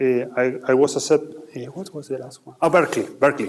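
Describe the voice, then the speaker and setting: Speaking with an Argentine accent, a man keeps a medium pitch with ordinary variation. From Argentina. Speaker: finance executive. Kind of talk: Q&A talk with students. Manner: halting with repetitions.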